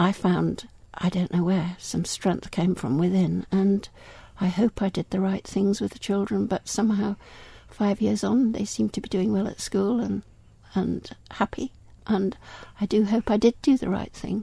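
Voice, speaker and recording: Very clean, with a silent background, the recording carries a woman's dark, mellow, somewhat breathy voice at medium pitch. She keeps a moderate pace and fairly even intonation. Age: 70s. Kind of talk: interview.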